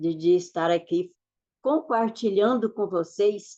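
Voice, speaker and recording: A woman's dark, mellow voice at a medium pitch, very slow in pace, with ordinary pitch variation. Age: 60s. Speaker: motivational speaker and mentor. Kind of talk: online masterclass talk. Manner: halting, with repetitions.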